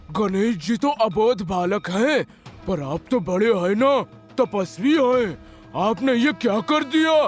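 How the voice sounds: Faint music plays behind a man doing a cartoonish character voice at a high pitch and a fairly slow pace.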